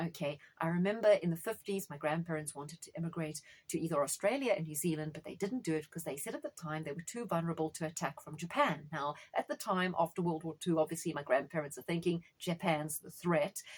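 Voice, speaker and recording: A woman talks at a very fast pace with hardly any pauses and an animated tone. Her fairly low voice is somewhat breathy. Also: ordinary pitch variation, big swings in loudness. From South Africa. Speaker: astrologer. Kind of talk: monologue on astrology.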